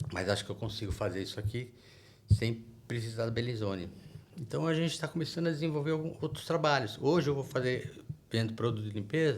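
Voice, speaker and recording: A man at a very fast pace, somewhat breathy, with lively intonation. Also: medium pitch for a man. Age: 60s. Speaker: business owner. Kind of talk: podcast interview. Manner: casual, conversational.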